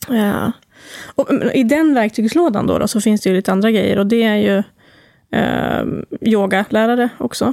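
A woman speaks at a fairly high pitch and moderate pace, with ordinary pitch variation and very even loudness. Long, frequent pauses break her speech in a dry, close sound with no echo. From Sweden, Timrå (Medelpad, Norrland). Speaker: talk therapist and breathwork guide. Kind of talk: podcast interview.

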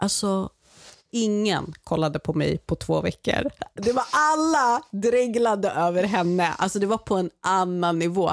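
A woman with a medium-pitched voice speaks at a fairly slow pace in an animated tone with lively intonation and very even loudness, the sound dry and close with no echo on a very clean recording with a silent background. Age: 30s. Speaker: guest aunt filling in for host. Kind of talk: casual chat.

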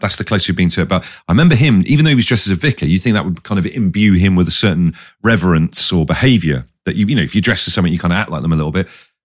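A man with an English accent speaks in a very deep, low voice with lively intonation. The recording is very clean, with a silent background. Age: 40s. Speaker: radio DJ and podcast co-host. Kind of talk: casual chat.

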